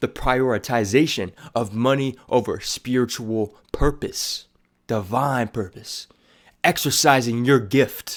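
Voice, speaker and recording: A man at a medium pitch and a fairly slow pace, an ordinary speaking voice, in a very clean recording with a silent background. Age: 20s. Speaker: aspiring motivational speaker. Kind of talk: casual talk to camera.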